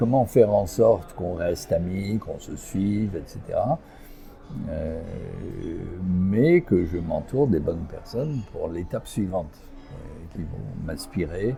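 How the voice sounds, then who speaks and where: Over music in the background, a man speaks at a very slow pace, leaving long, frequent pauses. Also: fairly low pitch for a man, lively intonation. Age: 70s. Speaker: executive coach and entrepreneur. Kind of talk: interview. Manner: hesitant, many fillers.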